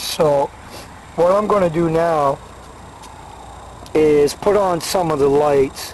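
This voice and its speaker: A man's very slow speech with fairly even intonation and long, frequent pauses, over noticeable background noise. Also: very even loudness. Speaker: bicycle tourer. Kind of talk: casual equipment walkthrough to camera. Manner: hesitant, many fillers.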